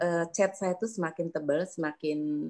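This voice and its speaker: The speaker is a woman with a dark, mellow tone. She keeps a moderate pace. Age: 60s. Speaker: yoga teacher trainee. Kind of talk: testimony. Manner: halting.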